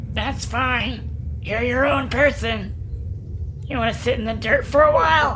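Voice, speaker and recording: A man's raised, projected voice at a fairly slow pace, with clear background noise. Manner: dreamy, eerily calm.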